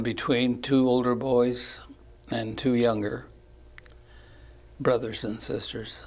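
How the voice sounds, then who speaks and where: Room echo is audible as a man speaks in a flat monotone, leaving long, frequent pauses. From Southern California, Santa Ana area. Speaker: war veteran. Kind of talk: oral history interview. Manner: halting.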